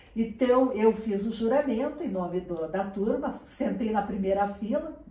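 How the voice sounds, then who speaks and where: A woman speaks at a fairly high pitch and a fairly slow pace, with ordinary pitch variation. Room echo is audible, and background noise is noticeable. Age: 60s. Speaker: journalist and university lecturer. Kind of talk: interview.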